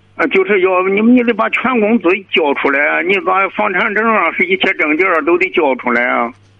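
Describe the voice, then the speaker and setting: At a moderate pace, a man with a high pitch speaks with lively intonation and very even loudness. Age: 80s+. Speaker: caller. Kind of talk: phone-in advice call. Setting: phone call.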